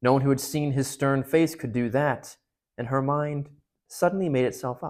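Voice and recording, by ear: A natural reading-aloud voice with fairly even intonation over a quiet background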